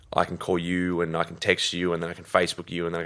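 Someone with an Australian accent talks at a very fast pace against a quiet background. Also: man. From Australia, Sydney eastern suburbs. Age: 20s. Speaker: health coach. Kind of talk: casual interview chat.

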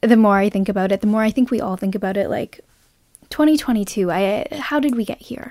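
Dry and close with no echo, a woman's fairly high voice has a dark, mellow tone, ordinary pitch variation and a moderate pace. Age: 20s. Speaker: podcast host. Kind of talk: solo monologue. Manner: casual, filler-heavy.

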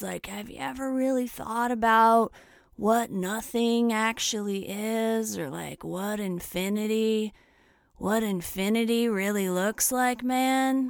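A woman's put-on character voice, fairly high in pitch, with fairly even intonation at a very slow pace. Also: very clean recording, silent background. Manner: dreamy, stoned.

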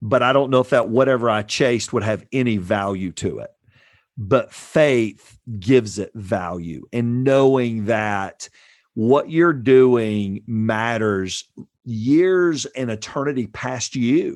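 A man with a Southern US accent, medium in pitch, at a very slow pace with ordinary pitch variation, over a quiet background. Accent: Southern US (Georgia). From US South, Georgia. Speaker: pastor. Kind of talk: casual interview. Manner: animated.

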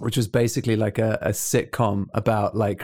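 A man with a fairly low pitch and monotone, flat intonation at a moderate pace, in a very clean recording with a silent background. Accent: British. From UK. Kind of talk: casual chat.

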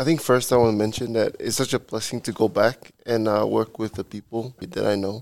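A man with a Samoan accent speaks at a medium pitch and a fairly quick pace with hardly any pauses and fairly even intonation, the sound dry and close with no echo.

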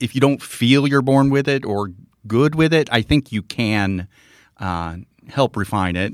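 A man's medium-pitched voice, fairly slow and lively in intonation, on a very clean recording with a silent background and a dry, close sound with no echo. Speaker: comedian and novelist. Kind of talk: interview. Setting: studio. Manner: halting, many fillers.

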